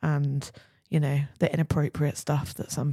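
A woman speaks at a moderate pace in a very deep, low voice. Her tone is dark and mellow, and somewhat breathy. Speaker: podcast co-host. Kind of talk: casual chat.

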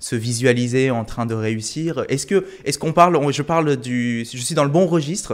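Speech moves at a moderate pace with ordinary pitch variation. The recording is very clean, with a silent background. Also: man. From Korea. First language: Korean (speaking French). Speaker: podcast host. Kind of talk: interview.

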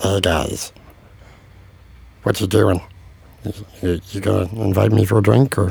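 A man puts on a raspy character voice at a fairly low pitch. He talks at a fairly slow pace with long, frequent pauses. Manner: casual, creepy.

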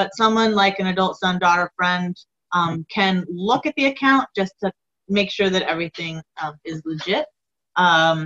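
Medium in pitch with ordinary pitch variation, a woman with an unremarkable speaking voice talks at a moderate pace, the sound dry and close with no echo. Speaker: elder abuse prevention director. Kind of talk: interview.

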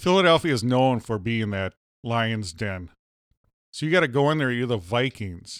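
A man talks at a moderate pace with a plain, everyday voice at medium pitch. His intonation is lively, and the recording is very clean with a silent background. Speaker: podcast host. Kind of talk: casual comedic chat. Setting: home studio barn.

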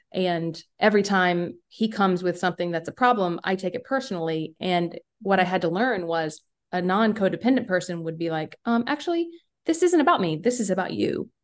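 A woman in a Southern US accent, medium in pitch with ordinary pitch variation, at a moderate pace against a quiet background. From US South, rural South Carolina. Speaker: musician and podcaster. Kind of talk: casual chat.

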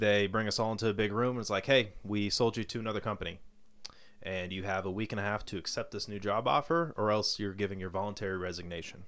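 With an American accent, a man speaks at a very fast pace, his fairly low voice showing ordinary pitch variation. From Colorado. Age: 20s. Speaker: sales professional and new father. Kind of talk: casual chat.

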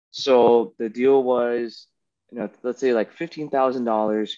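A man talks in a plain, everyday voice at a medium pitch. His intonation is fairly even and his pace fairly slow. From South Florida, Miami. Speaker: aspiring coffee farmer, former Marine. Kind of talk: casual chat.

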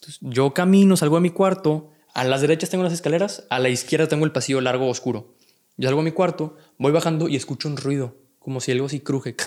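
Talking at a very fast pace, a man with a fairly high pitch uses ordinary pitch variation. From Monterrey, Mexico. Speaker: content creator. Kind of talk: casual chat. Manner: calm, relaxed.

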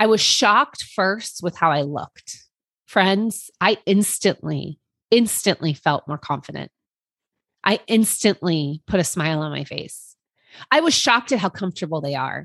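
Against a quiet background, a woman with a normal speaking voice and a medium pitch talks at a moderate pace with lively intonation. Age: 40s. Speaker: podcast host. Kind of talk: personal monologue.

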